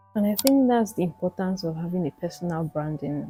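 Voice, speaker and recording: Over background music, a quiet, calm voice speaks at a fairly quick pace. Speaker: reaction video creator. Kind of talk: commentary on an interview.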